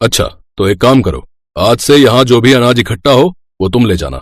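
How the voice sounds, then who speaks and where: Using a cartoonish character voice, a man speaks very fast at medium pitch. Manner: brusque, practical.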